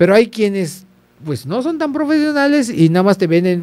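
A man speaks at a moderate pace in a dark, mellow tone. His pitch swings very widely. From Yucatán, Mexico (Progreso); Yucatán, Mexico. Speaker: photographer; podcast guest. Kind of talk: interview. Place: studio. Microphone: studio mic.

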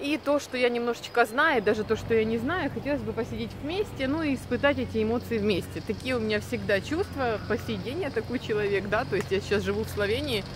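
Against noticeable background noise, a woman talks at a fairly quick pace with hardly any pauses. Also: dry sound with no echo. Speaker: vlogger. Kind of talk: casual vlog chat. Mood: warm, nostalgic. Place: street. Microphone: phone near.

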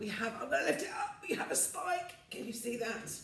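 Audible room echo surrounds a woman speaking at a moderate pace. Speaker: music teacher. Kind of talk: tutorial. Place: home room. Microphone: phone near.

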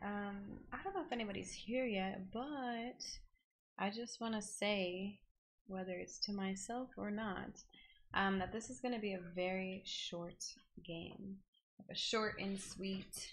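A somewhat breathy woman's voice at a fairly slow pace, with ordinary pitch variation. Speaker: game streamer. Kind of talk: casual stream chat. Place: home room.

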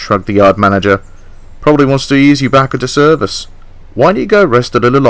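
The clip carries an unforced reading voice.

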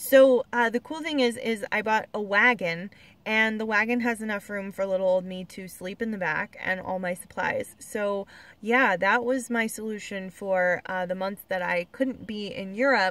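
A woman speaks at a moderate pace with ordinary pitch variation. The sound is dry with no echo. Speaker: car-living traveler vlogger. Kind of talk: casual vlog chat. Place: car. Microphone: phone near.

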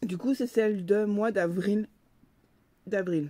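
Her voice sits fairly high, with ordinary pitch variation, recorded with a dry, close sound and no echo. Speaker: book and box unboxing vlogger. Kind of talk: unboxing video, casual monologue to camera. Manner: chatty, friendly, somewhat halting.

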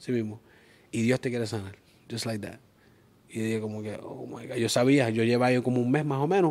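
A man at medium pitch talks very fast yet leaves long, frequent pauses, with ordinary pitch variation. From Springfield, Massachusetts; Massachusetts. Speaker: event promoter; podcast guest. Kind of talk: casual interview; interview answer. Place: studio. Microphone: lapel.

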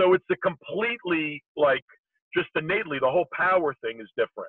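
A man's voice, dry with no echo, against a quiet background. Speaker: remote guest. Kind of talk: interview answer. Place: car. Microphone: video call.

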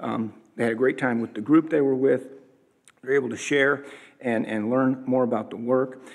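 A man's medium-pitched, monotone, flat delivery at a fairly quick pace over a quiet background. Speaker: church leader. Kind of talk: announcements and prayer. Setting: church. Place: church. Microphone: podium.

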